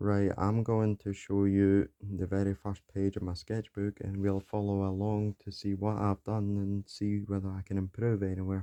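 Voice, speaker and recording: Speaking quietly at a moderate pace with hardly any pauses, a man with a fairly low pitch has a dark, mellow tone and monotone, flat intonation in a dry, close sound with no echo. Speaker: beginner artist, YouTuber. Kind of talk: casual art showcase narration.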